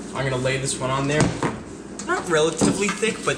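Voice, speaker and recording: A man's fairly high voice, with noticeable background noise and audible room echo. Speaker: car enthusiast vlogger. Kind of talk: casual vlog narration. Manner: whispering.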